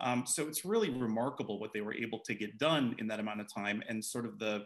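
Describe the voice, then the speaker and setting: At a fairly quick pace, a man speaks with ordinary pitch variation over a quiet background. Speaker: author and attorney. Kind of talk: book event conversation. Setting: video call. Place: home room. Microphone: video call.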